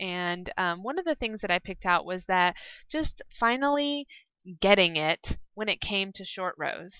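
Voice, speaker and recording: A woman talks at a fairly slow pace with ordinary pitch variation. She has an unremarkable speaking voice. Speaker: podcast host. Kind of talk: casual chat. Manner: chatty.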